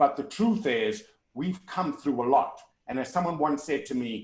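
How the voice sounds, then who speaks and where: Speaking with a strong South African accent, a man keeps a moderate pace and lively intonation. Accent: South African, kept strong. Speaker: motivational keynote speaker. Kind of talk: virtual keynote Q&A. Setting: video call. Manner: loud and articulate.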